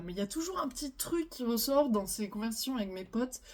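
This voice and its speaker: A soft-spoken woman talks very fast. Noticeable background noise runs behind her. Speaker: relationship advice youtuber. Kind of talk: casual monologue. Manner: hesitant, many fillers.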